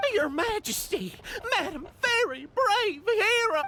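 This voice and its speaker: A put-on character voice at an extremely high pitch moves along at a fairly slow pace. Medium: video game. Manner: polite, formal.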